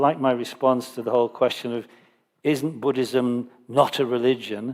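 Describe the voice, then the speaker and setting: Someone speaks at a fairly slow pace in a northern English accent. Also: man. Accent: British, northern English. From northern England. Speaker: Buddhist teacher. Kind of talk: Dharma teaching Q&A.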